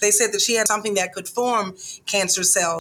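Over noticeable background noise, a woman speaks at medium pitch with fairly even intonation. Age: 50s. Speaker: breast cancer survivor and patient advocate. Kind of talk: interview testimony.

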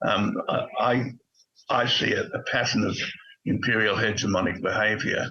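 A man with an Australian accent speaks at a moderate pace with long, frequent pauses and very even loudness. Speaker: retired diplomat. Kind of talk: political interview. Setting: remote video call. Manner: halting, frequent repetitions.

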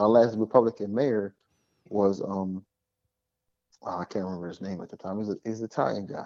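Speaking at a fairly quick pace with long, frequent pauses, a man uses a fairly low pitch, fairly even intonation and a dark, mellow tone, his loudness swinging widely in a dry, close sound with no echo. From Philadelphia. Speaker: political commentator guest. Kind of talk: casual political discussion.

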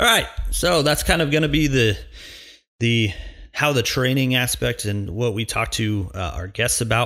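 With a bright, sharp tone and vocal fry, a man speaks at a moderate pace and a medium pitch with ordinary pitch variation. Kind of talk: solo podcast intro and monologue. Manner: casual, joking, filler words.

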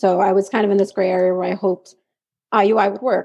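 A woman speaks with a medium pitch, a dark, mellow tone and monotone, flat intonation. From New York. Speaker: special education teaching assistant and grad student. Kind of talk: casual interview chat.

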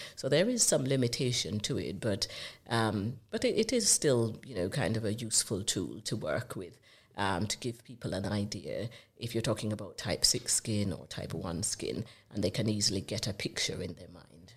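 A woman with a Jamaican accent speaks at a very deep, low pitch with ordinary pitch variation. Her loudness swings widely. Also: moderate pace. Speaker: consultant dermatologist. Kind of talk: podcast interview.

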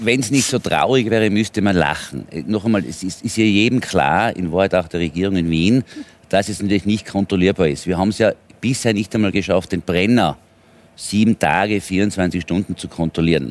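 A man talks at a moderate pace in a fairly low voice. His pitch varies in an ordinary way. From Tyrol, Austria. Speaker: politician and businessman. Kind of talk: heated debate.

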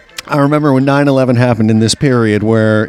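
Fairly even intonation marks a man's speech, with noticeable background noise behind it. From New Orleans. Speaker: recording engineer. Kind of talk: casual chat. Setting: bar.

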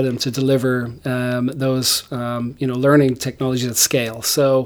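A man talks with an Irish accent. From Ireland. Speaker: tech company founder and CEO. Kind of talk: interview.

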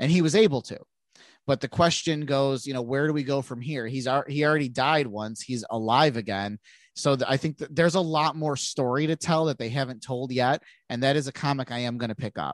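A man speaks at a fairly quick pace in a fairly high voice with ordinary pitch variation. The sound is dry and close, with no echo. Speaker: podcast co-host. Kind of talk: casual chat.

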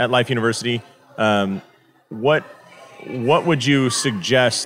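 Over noticeable background noise, a man speaks at medium pitch with ordinary pitch variation. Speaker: podcast host, chiropractor. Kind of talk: interview.

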